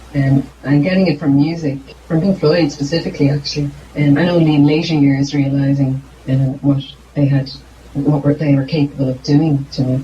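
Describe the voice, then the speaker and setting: Against noticeable background noise, a woman talks at a fairly quick pace in a very deep, low pitch, with monotone, flat intonation and very even loudness. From Ireland. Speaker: singer-songwriter. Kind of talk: interview. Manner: halting.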